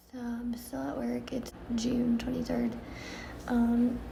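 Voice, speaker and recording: A woman at a fairly high pitch with monotone, flat intonation and a fairly slow pace, amid noticeable background noise and audible room echo. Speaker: vlogger. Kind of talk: video diary. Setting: at work. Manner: quiet.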